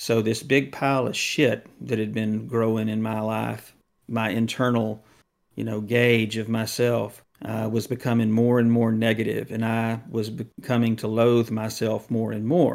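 The recording is very clean, with a silent background. A man with an American accent speaks at a fairly slow pace in a monotone, flat intonation. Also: medium pitch for a man. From Texas. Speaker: podcast co-host. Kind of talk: casual chat.

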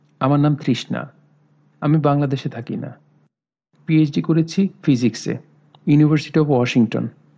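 A man's fairly high pitch with ordinary pitch variation and a dark, mellow tone. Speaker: audiobook narrator. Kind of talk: reading aloud.

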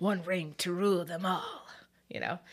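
In a put-on character voice at a middle pitch, the speaker goes at a moderate pace. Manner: impression.

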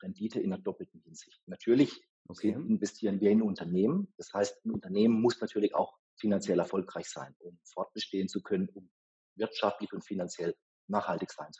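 An unremarkable speaking voice from a man, fairly low in pitch with ordinary variation, at a fairly quick pace, with a dry, close sound and no echo. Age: 40s. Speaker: venture capital investor. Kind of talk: interview.

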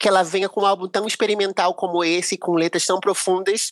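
In a very clean recording with a silent background, a woman with an unremarkable speaking voice talks at a medium pitch and a moderate pace, her intonation fairly even. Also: dry, close sound with no echo. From Brazil, Rio de Janeiro. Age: 40s. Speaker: singer-songwriter. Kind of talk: casual chat.

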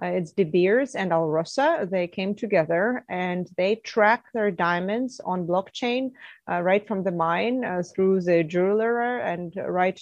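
The speaker has a Russian accent and talks at a fairly slow pace with ordinary pitch variation and hardly any pauses. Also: woman, medium pitch for a woman. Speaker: mining company CEO, geologist. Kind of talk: interview answers.

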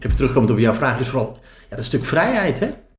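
Recorded with audible room echo and noticeable background noise, a man is speaking. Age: 50s. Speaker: self-employed sales trainer and cyclist. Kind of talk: interview.

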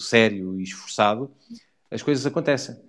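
At a moderate speed, a man speaks in a mid-range pitch. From Portugal, near Portalegre. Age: 40s. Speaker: motorcycle rally rider. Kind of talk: casual interview. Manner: halting, repeats words.

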